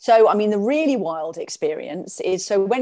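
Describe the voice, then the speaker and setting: This woman has an English accent. Her pitch sits in the medium range. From England. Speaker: shamanic practitioner and life coach. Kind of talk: interview.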